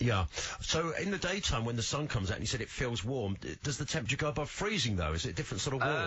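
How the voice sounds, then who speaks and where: Over noticeable background noise, a man at medium pitch races along at a very fast pace with very wide pitch swings. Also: hardly any pauses. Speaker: radio breakfast show presenter. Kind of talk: radio interview questions. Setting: radio studio.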